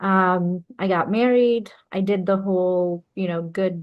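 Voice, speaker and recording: A woman speaks at a fairly low pitch with a Bengali accent. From Bangladesh. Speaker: entrepreneur and business consultant. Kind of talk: interview.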